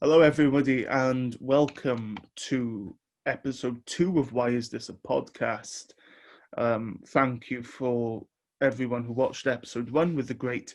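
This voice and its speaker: A man's medium-pitched voice with a British accent, fairly even intonation and a fairly slow pace over a quiet background. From Wales. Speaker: podcast host. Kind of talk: podcast intro and tribute.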